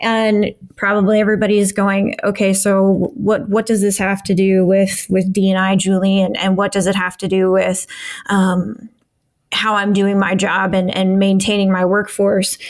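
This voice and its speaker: Speaking in an American accent, a woman keeps a monotone, flat intonation and very even loudness. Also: medium pitch for a woman, moderate pace. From US Midwest. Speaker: podcast co-host, diversity and inclusion expert. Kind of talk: casual discussion. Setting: at home.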